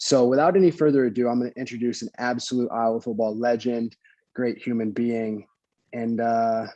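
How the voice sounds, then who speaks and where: A man speaks at medium pitch with a dark, mellow tone. His intonation stays fairly even at a moderate pace. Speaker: podcast host. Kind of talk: podcast intro, casual talk.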